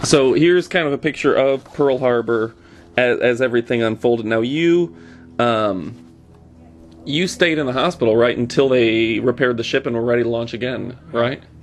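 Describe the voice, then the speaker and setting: Music plays in the background as a man talks at a moderate pace. His voice is medium in pitch with ordinary pitch variation. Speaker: interviewer. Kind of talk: casual interview questions.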